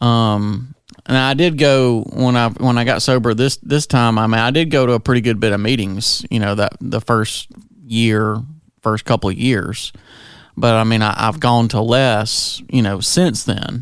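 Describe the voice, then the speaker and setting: This is a normal speaking voice with very even loudness. The pace is fairly slow and the intonation fairly even. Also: man, medium pitch for a man. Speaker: recovery podcast co-host. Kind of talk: casual chat.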